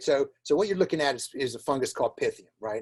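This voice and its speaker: Heard in a dry, close sound with no echo, a man with a fairly high pitch and a normal speaking voice talks at a fairly quick pace. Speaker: plant pathologist. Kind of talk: webinar presentation. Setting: online webinar. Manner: repetitive fillers and restarts.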